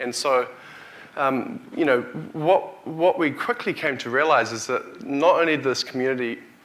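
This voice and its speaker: Talking at a fairly slow pace, a man with a New Zealand accent has a fairly high pitch and lively intonation. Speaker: tech company CEO, keynote speaker. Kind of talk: conference keynote. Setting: stage with audience. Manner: halting, with frequent restarts and fillers.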